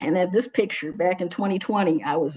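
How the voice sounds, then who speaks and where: A woman speaks with a Detroit accent at a medium pitch. The background is quiet. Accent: Detroit American English. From US Midwest, Detroit. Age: 60s. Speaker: social worker. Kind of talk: personal testimony presentation.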